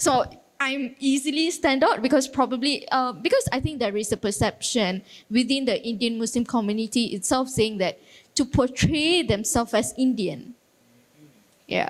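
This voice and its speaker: Her voice is high-pitched, with ordinary pitch variation, as this woman speaks at a moderate pace. Noticeable background noise runs underneath. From Malaysia. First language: Tamil. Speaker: youth council representative. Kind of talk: panel discussion.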